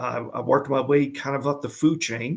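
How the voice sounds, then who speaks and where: Here a man speaks with a Louisiana accent at a moderate pace. His pitch is fairly high, and his intonation fairly even. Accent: Louisiana Southern. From Louisiana, US South. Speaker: ERP consultant and author. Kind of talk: interview.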